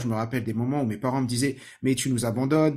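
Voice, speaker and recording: Somewhat breathy, a man at a medium pitch talks at a fairly quick pace with fairly even intonation. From France, Saint-Ouen (Seine-Saint-Denis, Paris suburbs). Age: 30s. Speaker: learning techniques trainer, podcast host. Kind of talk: personal story monologue.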